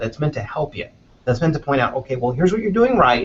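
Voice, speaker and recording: This man has an American accent. His voice is somewhat breathy. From Los Angeles, US. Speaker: news recruiting manager. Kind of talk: interview. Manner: many fillers, hesitant restarts.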